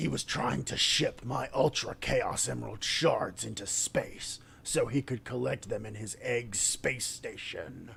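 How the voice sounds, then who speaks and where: Over clear background noise, a man uses a raspy, put-on character voice at a fairly slow pace. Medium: read story. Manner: cold, sneering.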